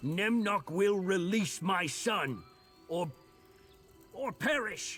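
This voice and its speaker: Very slowly, a man puts on a high character voice over faint background music. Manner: hate-filled.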